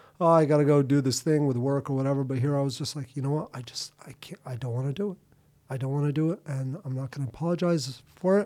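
Very fast and fairly high-pitched, a man speaks with ordinary pitch variation. His tone is dark and mellow. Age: 40s. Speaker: filmmaker and surfer. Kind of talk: casual chat.

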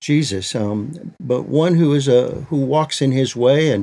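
With an American accent, a man talks at a medium pitch in a dark, mellow tone with ordinary pitch variation. The recording is very clean and the background silent. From Michigan, US. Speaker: Bible translator and ministry leader. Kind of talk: interview.

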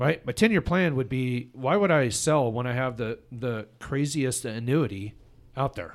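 In a very clean recording with a silent background, a man with a normal speaking voice talks at a fairly slow pace and medium pitch. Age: 50s. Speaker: podcast host and tech company president. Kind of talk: casual interview chat.

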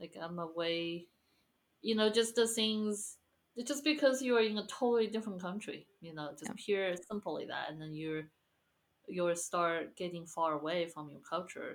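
A woman talks at a medium pitch with ordinary pitch variation. Her loudness swings widely. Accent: Chinese. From China, Guizhou province (Guiyang). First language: Chinese. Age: 30s. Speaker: pianist and musician. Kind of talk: interview.

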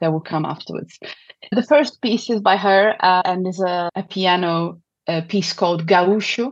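A woman speaks with a Portuguese accent at a fairly slow pace. Her intonation stays fairly even. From southern Brazil. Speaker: opera singer and music advocate. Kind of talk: interview conversation.

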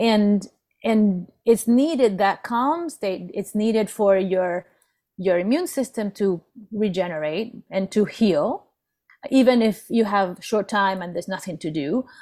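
On a very clean recording with a silent background, a woman speaks at a medium pitch and a fairly slow pace, her dark, mellow tone carrying lively intonation. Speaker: business and life coach, co-host. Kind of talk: casual interview.

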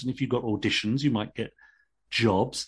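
A man with an English accent speaks at a medium pitch and a fairly quick pace. His voice is somewhat breathy over a quiet background. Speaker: actor and novelist. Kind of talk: interview.

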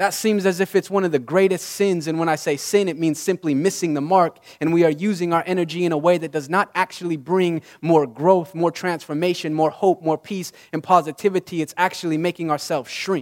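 A man's high-pitched voice with an American accent, at a fairly quick pace with fairly even intonation, in a dry, close sound with no echo. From Utah, US. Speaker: motivational speaker. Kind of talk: inspirational talk.

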